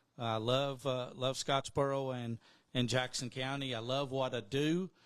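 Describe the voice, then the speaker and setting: Here a man talks with an Alabama accent at a fairly slow pace. His pitch is medium and his intonation monotone and flat. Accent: Southern US (Alabama). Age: 60s. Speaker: radio station owner and sports announcer. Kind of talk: casual podcast interview. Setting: makeshift studio.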